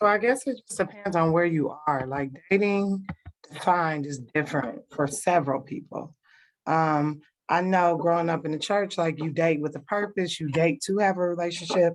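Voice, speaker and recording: A woman with an American accent speaks in an ordinary speaking voice, fairly low in pitch, with ordinary pitch variation at a moderate pace. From Cleveland, Ohio. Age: 30s. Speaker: kindergarten teacher. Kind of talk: casual group discussion. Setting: online livestream.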